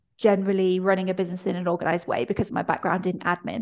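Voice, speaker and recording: Against a quiet background, a woman talks with a British accent. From Britain. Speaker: freelance pricing mentor. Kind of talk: interview.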